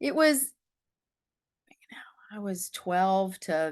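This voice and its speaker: With an American accent, a woman speaks at a very slow pace and medium pitch, using lively intonation. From US, northern Michigan then western North Carolina. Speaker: dream doula. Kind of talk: interview.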